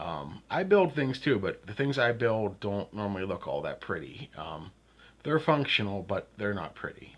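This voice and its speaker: A man in an American accent, medium in pitch with vocal fry and very wide pitch swings, at a moderate pace. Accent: Pittsburgh dialect, slight, slips through. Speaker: YouTube creator, vlogger. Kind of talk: casual solo vlog. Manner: hesitant, many fillers and self-repeats.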